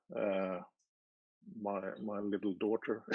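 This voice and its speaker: A man with a non-native accent speaks very slowly in a fairly low pitch. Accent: foreign. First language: not English. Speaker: party candidate. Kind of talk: interview. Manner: halting.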